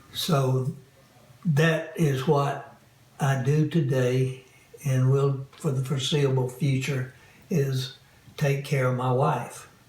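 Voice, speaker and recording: With long, frequent pauses and a very slow pace, a man speaks in a fairly high, monotone voice at very even loudness amid audible room echo. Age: 80s+. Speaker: caregiver. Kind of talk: interview testimony.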